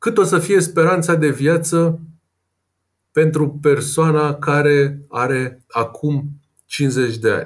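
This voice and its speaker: Somewhat breathy, a man talks at a very slow pace in a fairly high voice with ordinary pitch variation. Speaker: personal finance blogger and investor. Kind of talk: interview.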